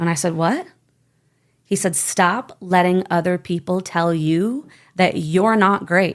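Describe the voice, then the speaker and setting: A woman with an American accent speaks in an animated tone at medium pitch, with ordinary pitch variation and very even loudness, on a very clean recording with a silent background. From Michigan, US. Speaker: network marketer. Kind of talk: interview. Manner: fast.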